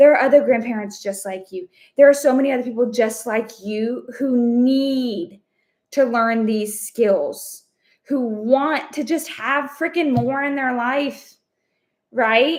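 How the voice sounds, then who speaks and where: A loud woman's voice with an American accent, high in pitch, at a fairly slow pace with ordinary pitch variation. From Texas. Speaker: online business coach. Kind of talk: live stream. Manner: energetic.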